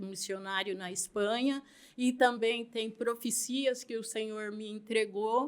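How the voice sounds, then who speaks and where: An ordinary speaking voice from a woman, fairly high in pitch, with fairly even intonation at a fairly slow pace. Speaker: missionary and author. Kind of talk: interview.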